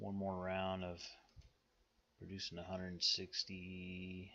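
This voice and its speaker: In a Western US accent, a man speaks with a very deep, low voice and a bright, sharp tone. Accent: Western American. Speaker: strategy game YouTuber. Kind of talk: gameplay commentary. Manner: sometimes mumbling; deliberately clear speech.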